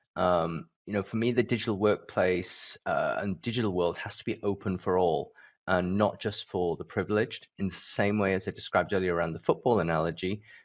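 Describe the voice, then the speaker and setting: A man's fairly low voice at a fairly quick pace, hardly any pauses, and fairly even intonation. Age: 40s. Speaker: business leader. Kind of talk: event presentation.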